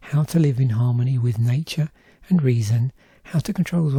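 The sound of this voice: Pitch shifts in a normal way through the unforced reading voice.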